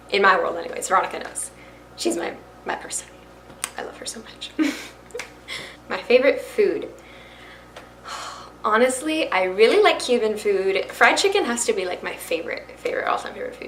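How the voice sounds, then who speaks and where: A woman talks at a fairly quick pace with long, frequent pauses and big swings in loudness, with audible room echo and noticeable background noise. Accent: American. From Florida (Miami and Brooksville near Tampa). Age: young. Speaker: YouTuber and fashion reseller. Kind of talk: casual talk to camera. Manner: chatty, animated.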